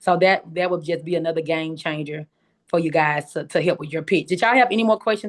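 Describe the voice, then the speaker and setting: A woman with a strong Southern US accent and fairly low pitch speaks very fast, her pitch varying in an ordinary way. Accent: strong Southern country. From US South, Memphis, Tennessee. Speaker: pitch competition coach and host. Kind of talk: instructional talk on a video call. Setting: video call. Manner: casual, chatty.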